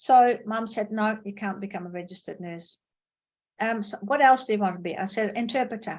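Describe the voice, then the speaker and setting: Somewhat breathy, a woman talks at a fairly high pitch and a fairly quick pace, with ordinary pitch variation. Her loudness swings a lot against a quiet background. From Netherlands. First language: Dutch. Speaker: professor. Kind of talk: lecture. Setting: video call.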